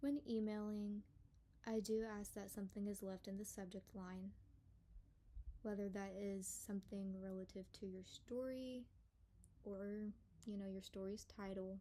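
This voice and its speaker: Leaving long, frequent pauses, a woman speaks at medium pitch in a dark, mellow tone with monotone, flat intonation. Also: moderate pace. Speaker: paranormal story channel host. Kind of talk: casual monologue intro. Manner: reading from notes.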